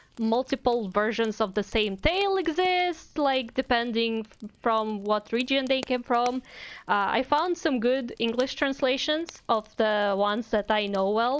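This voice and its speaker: A woman's high-pitched, lively voice with a Russian accent, at a fairly slow pace with hardly any pauses. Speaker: VTuber streamer and artist. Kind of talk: casual live stream chat. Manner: casual, halting with fillers.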